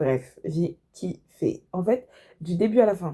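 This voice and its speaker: A woman's fairly low voice, dark and mellow in tone, unfolds at a fairly slow pace. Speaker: book review youtuber. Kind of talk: casual book review monologue.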